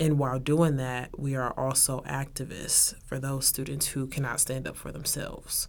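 Over noticeable background noise, the speaker uses an American accent, a flat monotone and a moderate pace with hardly any pauses. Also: woman, very deep, low pitch for a woman. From Texas, Arlington. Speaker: university student. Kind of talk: interview.

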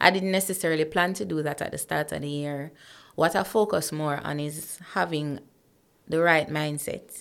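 This speaker has a Jamaican accent and a moderate pace. The pitch varies an ordinary amount. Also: woman, very deep, low pitch for a woman. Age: 30s. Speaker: corporate professional and motivational speaker. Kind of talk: casual interview.

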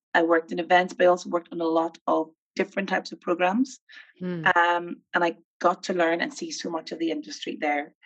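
With a Northern Irish accent, a woman talks at a fairly quick pace and fairly low pitch with ordinary pitch variation. The sound is dry and close, with no echo. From Northern Ireland, Armagh. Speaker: film producer and nonprofit chief executive. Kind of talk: interview conversation. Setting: video call.

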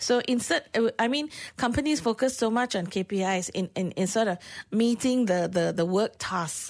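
In a Malaysian accent, a woman with a fairly high pitch talks at a moderate pace with ordinary pitch variation over a quiet background. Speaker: workplace consultant. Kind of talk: radio interview. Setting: radio studio.

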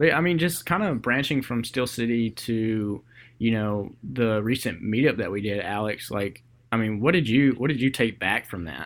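An ordinary speaking voice from a man, medium in pitch, at a moderate pace with lively intonation. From US South, Georgia (Columbus). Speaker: podcast host, photographer. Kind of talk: casual chat.

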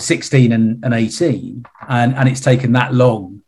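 Flat and monotone, a man's somewhat breathy voice carries little change in intonation. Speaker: retired CEO and investor. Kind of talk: interview. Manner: halting, many repeated words.

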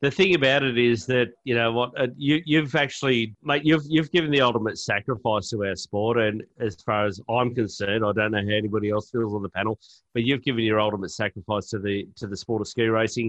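Speaking in an Australian accent, a man has a medium pitch and ordinary pitch variation. He goes at a very fast pace with hardly any pauses. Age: 40s. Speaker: podcast host. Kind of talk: casual chat. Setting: video call.

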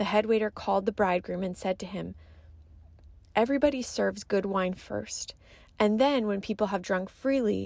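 The recording is very clean, with a silent background. A woman with a gentle tone talks at a moderate pace. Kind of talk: guided meditation. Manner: gentle, hushed, with pauses.

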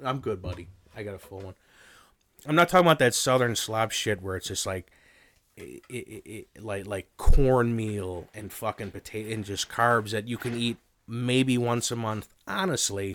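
This man has an unremarkable speaking voice at a medium pitch. The recording is very clean, with a silent background. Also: ordinary pitch variation, moderate pace, big swings in loudness. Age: 30s. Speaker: returning podcast guest. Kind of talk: casual chat.

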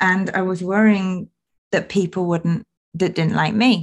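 Somewhat breathy, a woman speaks at a fairly low pitch with ordinary pitch variation. She has a British accent and a fairly slow pace. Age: 30s. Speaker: podcast host and wellbeing coach. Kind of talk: solo personal reflection podcast.

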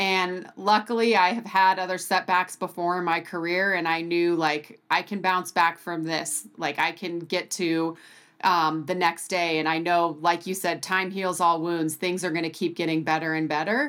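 A woman with an American accent and an unremarkable speaking voice talks at a moderate pace with hardly any pauses. Her fairly low voice keeps a fairly even intonation in a very clean recording with a silent background. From US Pacific Northwest (Bend, Oregon). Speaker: professional triathlete. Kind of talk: interview conversation.

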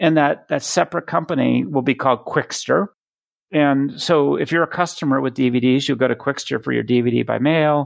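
Against a quiet background, a man with an American accent and a normal speaking voice talks at a fairly high pitch and a moderate pace, with ordinary pitch variation and a dry, close sound with no echo. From Boston. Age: 50s. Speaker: product leadership coach and speaker. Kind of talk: interview. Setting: call.

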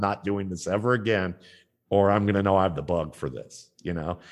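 A man with a normal speaking voice, a fairly low pitch and a moderate pace. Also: quiet background. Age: 50s. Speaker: football scout and analyst. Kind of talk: interview.

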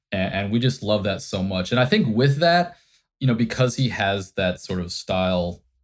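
In a very clean recording with a silent background, a man with an American accent and a plain, everyday voice speaks at a moderate pace with ordinary pitch variation. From Indiana. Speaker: advertising creative director. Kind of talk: interview.

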